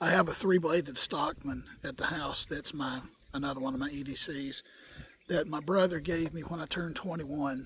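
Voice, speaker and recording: Noticeable background noise sits behind a man speaking at a moderate pace. His voice is fairly high, with fairly even intonation. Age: 60s. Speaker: bushcraft video maker. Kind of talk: casual tutorial. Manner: folksy, repeats okay often.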